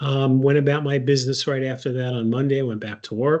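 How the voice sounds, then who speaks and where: This is a man with a medium pitch. His intonation stays fairly even. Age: 60s. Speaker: patient advocate. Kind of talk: personal testimony. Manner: hesitant, many filler words.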